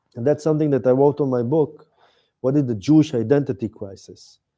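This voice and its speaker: Speaking with an Israeli accent, a man uses lively intonation at a medium pitch. His tone is dark and mellow. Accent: Israeli Hebrew. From Israel, Tel Aviv area. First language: Hebrew. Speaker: author and activist. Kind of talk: talk with audience Q&A. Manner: halting, searching for English words.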